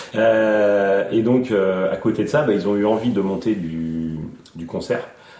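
A man speaks at a fairly low pitch with ordinary pitch variation. Noticeable background noise and audible room echo fill the recording. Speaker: youth association director. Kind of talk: casual interview.

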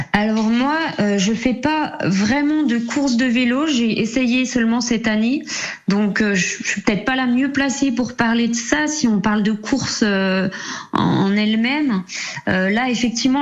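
A fairly high-pitched woman at a fairly slow pace, with ordinary pitch variation and very even loudness, amid audible room echo and noticeable background noise. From Jura, eastern France. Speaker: amateur cyclist, cycling association member. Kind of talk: radio interview. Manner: halting, many fillers.

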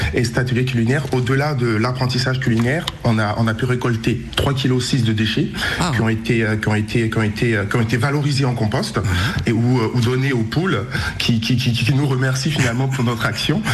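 A man talks at a moderate pace and very even loudness, with noticeable background noise and audible room echo. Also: medium pitch for a man, fairly even intonation. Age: 20s. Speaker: event organizer. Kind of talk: radio interview. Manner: halting, many repetitions and fillers.

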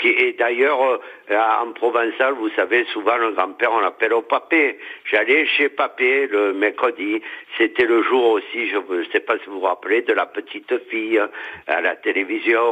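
A man speaks at a fairly slow pace while noticeable background noise carries on. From Marseille. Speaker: radio caller. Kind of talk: casual phone chat.

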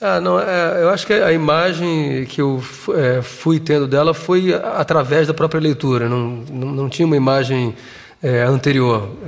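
A man's fairly high-pitched voice with a Portuguese accent. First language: Portuguese (speaking French). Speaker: theatre director. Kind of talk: interview. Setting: studio with live audience. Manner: halting.

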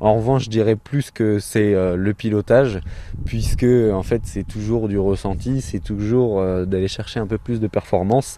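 The voice has a dark, mellow tone, with fairly even intonation at a fairly slow pace. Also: man, fairly low pitch for a man. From France, Mayenne. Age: 20s. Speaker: driving instructor and entrepreneur. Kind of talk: radio interview.

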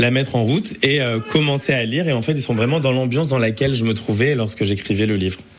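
A man at medium pitch and a fairly quick pace, ordinary pitch variation, with audible room echo and noticeable background noise. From France, Amiens area. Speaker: singer. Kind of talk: radio interview. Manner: halting.

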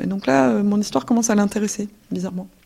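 At a fairly quick pace, the voice carries a dark, mellow tone and lively intonation. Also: woman. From Belgium. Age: 20s. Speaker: former ISIS member, returnee. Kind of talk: testimony. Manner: halting.

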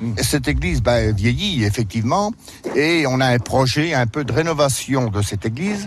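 Very wide pitch swings at a moderate pace. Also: man, medium pitch for a man. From France, Berry (Indre). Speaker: village mayor, retired farmer. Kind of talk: radio interview on a walking tour. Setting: outdoors, walking through the village. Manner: hesitant, many fillers.

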